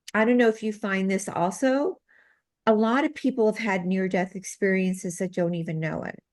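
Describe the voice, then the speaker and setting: A woman with a normal speaking voice, medium pitch, ordinary pitch variation and a moderate pace, against a quiet background. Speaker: medical intuitive and healer. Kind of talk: interview.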